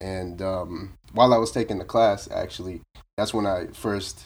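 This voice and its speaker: Music plays in the background as a man with an American accent talks in a fairly low voice with fairly even intonation. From Boston area, Massachusetts (Roxbury, Brockton). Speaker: commercial real estate agent. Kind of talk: casual interview.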